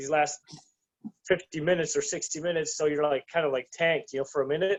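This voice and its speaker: A man's high-pitched voice at a very fast pace. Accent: slight German. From Germany, to American parents. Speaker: petitioner and rights activist. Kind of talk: casual podcast interview. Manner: halting, many fillers.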